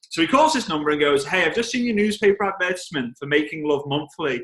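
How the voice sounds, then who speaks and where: A man with a strong Liverpool accent talks at a very fast pace, his intonation lively. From England, Liverpool. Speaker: network marketing trainer. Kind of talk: storytelling on a team call. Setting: conference call.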